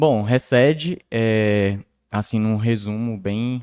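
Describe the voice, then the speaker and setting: A man talks with fairly even intonation. The recording is very clean and the background silent. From Brazil, mostly Tocantins (born in Belém, Pará). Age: 20s. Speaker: church youth cell leader, software developer. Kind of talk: casual chat.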